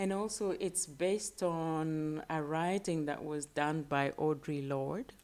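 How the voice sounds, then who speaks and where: In a very clean recording with a silent background, a woman with a very deep, low pitch speaks very slowly with ordinary pitch variation. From Kenya. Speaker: artist. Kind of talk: interview.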